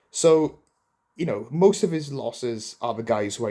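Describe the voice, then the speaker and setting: A man with a Welsh accent speaks at a fairly high pitch and a moderate pace with lively intonation. The recording is very clean, with a silent background. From Wales, Swansea. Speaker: boxing commentator. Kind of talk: casual commentary to camera. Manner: conversational, filler-heavy.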